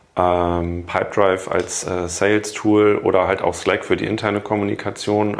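Over noticeable background noise, a man talks in a very deep, low voice with monotone, flat intonation. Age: 40s. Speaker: corporate health management entrepreneur. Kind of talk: interview.

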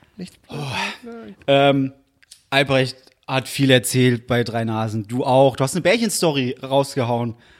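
A man speaks at a fairly slow pace in a medium pitch. His loudness swings widely. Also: ordinary pitch variation. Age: 20s. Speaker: podcast co-host. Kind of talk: casual chat. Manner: animated.

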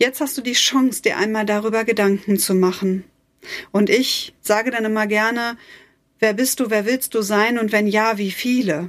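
A woman with an ordinary speaking voice talks at a fairly high pitch and moderate pace with fairly even intonation, on a very clean recording with a silent background. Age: 40s. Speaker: life coach / podcast host. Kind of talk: motivational podcast monologue. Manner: warm, emotive.

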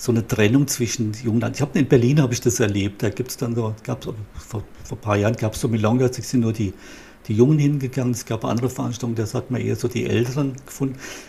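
A man rattles along at a very fast pace, medium in pitch with fairly even intonation and audible vocal fry. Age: 60s. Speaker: psychologist. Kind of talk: interview. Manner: halting, with repeated words.

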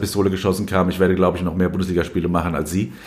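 In a room with audible echo, a man speaks in a very deep, low voice with monotone, flat intonation. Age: 40s. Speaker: sports journalist, newspaper sports editor. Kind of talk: interview. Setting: recorded at his home. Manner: frequent hesitations (äh).

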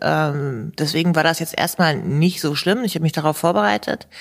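A woman with a normal speaking voice talks at a fairly low pitch. Her pace is fairly quick and her pitch variation ordinary. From Hannover area, Germany. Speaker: professional soldier and author. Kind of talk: interview.

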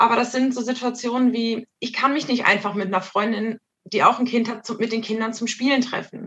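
A woman speaks with fairly high pitch. Her intonation is monotone and flat. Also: moderate pace. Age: 30s. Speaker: mother. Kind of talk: casual interview.

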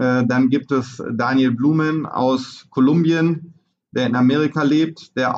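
A man's fairly high voice in a flat, monotone delivery. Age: 40s. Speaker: show jumping trainer. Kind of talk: interview. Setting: on location at a horse farm.

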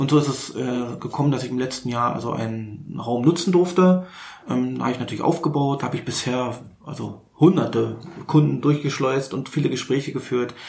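A man's medium-pitched voice with a Berlin accent, at a fairly quick pace with ordinary pitch variation, in audible room echo. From Berlin, Germany. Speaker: wedding and school photographer. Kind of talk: casual chat.

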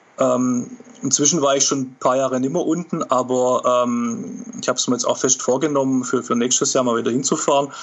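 A man talks at a moderate pace with hardly any pauses, in a medium pitch with ordinary pitch variation. Noticeable background noise sits behind him. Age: 40s. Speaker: author and football fan. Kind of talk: casual interview.

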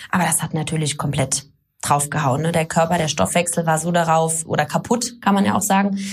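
A woman's fairly low voice, a normal speaking voice, with ordinary pitch variation and a fairly quick pace. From Germany, Baden near Karlsruhe, then Middle Rhine (Boppard). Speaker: fitness trainer and physiotherapist. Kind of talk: podcast interview. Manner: many filler sounds.

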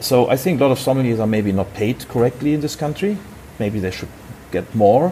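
A man with a German accent talks at a fairly quick pace and medium pitch, with lively intonation. Noticeable background noise runs beneath him. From Germany, Hamburg. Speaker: wine importer, former sommelier. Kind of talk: interview. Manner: halting.

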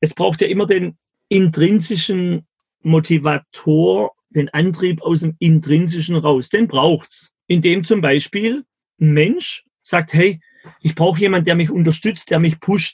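Speaking at a very slow pace, a man keeps his loudness very even and his pitch variation ordinary. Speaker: entrepreneur and mentor. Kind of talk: casual interview. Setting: video call. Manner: animated.

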